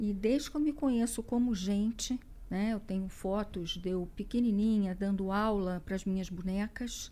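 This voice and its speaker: Speaking at a very slow pace, a woman with a fairly high pitch has a dark, mellow tone and ordinary pitch variation. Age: 60s. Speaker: business executive and leadership coach. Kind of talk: interview. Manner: hesitant with many fillers.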